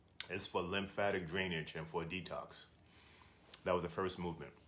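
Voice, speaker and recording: A man with a very deep, low voice talks at a moderate pace, with audible room echo around him. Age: 60s. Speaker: health and fitness video creator. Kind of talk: exercise tutorial. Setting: small hotel room. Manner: casual, with fillers.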